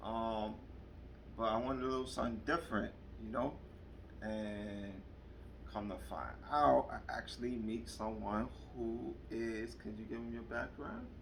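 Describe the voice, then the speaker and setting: With a New York accent, a man speaks with long, frequent pauses in a room with audible echo. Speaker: vlogger. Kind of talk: casual chat. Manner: animated.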